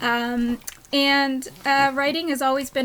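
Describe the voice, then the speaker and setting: A woman talks, and noticeable background noise can be heard. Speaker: blogger with chronic illness. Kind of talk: casual vlog monologue. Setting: at home in bed. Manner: halting, many fillers.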